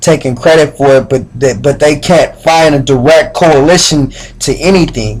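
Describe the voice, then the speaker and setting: A man with an ordinary speaking voice, fairly high for a man, keeps a very even loudness and fairly even intonation at a moderate pace. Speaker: spoken word poet. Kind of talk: casual talk to camera.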